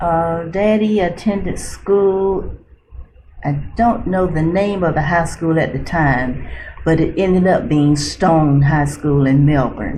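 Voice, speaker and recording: Speaking very slowly in an American accent, a woman with a fairly low pitch keeps her loudness very even amid audible room echo and noticeable background noise. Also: ordinary pitch variation. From central Florida. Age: 70s. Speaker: retired nurse. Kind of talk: oral history interview. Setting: library.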